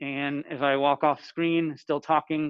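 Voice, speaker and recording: Here a man speaks with a fairly high pitch. His intonation is monotone and flat. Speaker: teacher. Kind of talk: audio test demonstration. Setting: classroom. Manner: loud, projecting. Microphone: laptop built-in mic, then camera mic, then earbuds.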